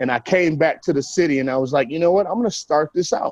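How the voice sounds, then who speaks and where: A man speaks at a fairly quick pace with lively intonation. The sound is dry and close, with no echo. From US Midwest, Milwaukee. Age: 40s. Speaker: artist and musician. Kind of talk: casual interview.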